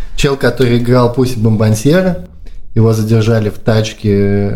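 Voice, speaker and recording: The speaker talks at a moderate pace. Room echo is audible. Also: man. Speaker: podcast host, marketer. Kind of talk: casual chat. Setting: apartment. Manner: quiet.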